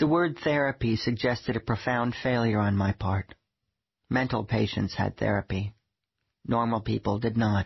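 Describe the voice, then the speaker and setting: At a moderate pace, a man with a medium pitch speaks somewhat breathily, with very even loudness and ordinary pitch variation. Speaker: audiobook narrator reading a memoir. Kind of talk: audiobook narration, comic memoir read.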